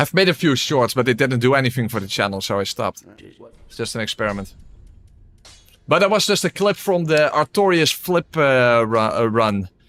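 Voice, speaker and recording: A man with a Dutch accent at medium pitch, fairly quick, with very wide pitch swings and big swings in loudness, music in the background, and a dry, close sound with no echo. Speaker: gaming streamer. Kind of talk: live gameplay commentary. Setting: live stream. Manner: casual, hesitant with many fillers.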